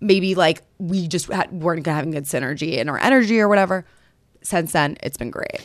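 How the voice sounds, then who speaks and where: With an American accent and an unremarkable speaking voice, a woman talks at a fairly quick pace in a fairly low pitch with lively intonation. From New York City. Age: 20s. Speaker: dating advice content creator. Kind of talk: casual chat. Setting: studio.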